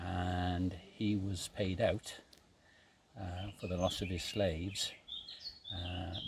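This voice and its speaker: A man speaks very slowly in a very deep, low voice, leaving long, frequent pauses. His intonation stays monotone and flat over noticeable background noise. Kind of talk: casual storytelling outdoors. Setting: outdoors.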